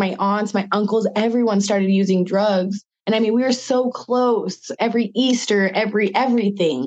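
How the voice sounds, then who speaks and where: A woman speaks in an ordinary speaking voice at a medium pitch. Her pace is moderate, her loudness very even and her intonation fairly even. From US Pacific Northwest, Spokane, Washington. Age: 30s. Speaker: model and actress. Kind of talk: interview, personal testimony.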